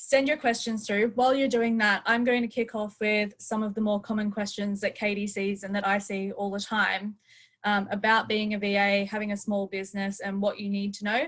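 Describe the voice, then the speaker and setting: A somewhat breathy voice with an Australian accent speaks at a moderate pace in a monotone, flat intonation. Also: woman. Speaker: webinar host. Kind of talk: live webinar hosting. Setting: video call.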